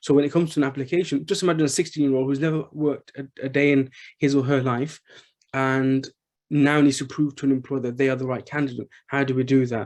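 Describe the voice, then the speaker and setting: With a Birmingham accent, a man speaks at a very fast pace in a fairly high pitch, his intonation monotone and flat against a quiet background. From England, Birmingham. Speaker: charity chief executive. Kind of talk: panel discussion. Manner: halting, many fillers.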